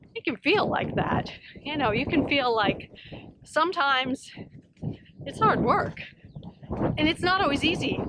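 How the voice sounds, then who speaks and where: At a moderate pace, a woman speaks with very wide pitch swings over noticeable background noise. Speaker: psychologist and professor. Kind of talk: walking vlog talk to camera. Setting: outdoors. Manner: inviting, approachable storytelling.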